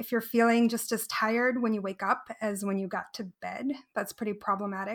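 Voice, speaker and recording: A woman speaks in a plain, everyday voice at a fairly high pitch. Her intonation is fairly even and her pace fairly quick. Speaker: cloud developer advocate. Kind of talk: casual interview chat.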